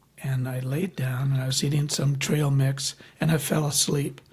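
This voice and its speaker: A somewhat breathy voice with an American accent. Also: man. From US Midwest, Michigan. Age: 70s. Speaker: birder. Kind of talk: casual interview chat. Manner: halting, many fillers.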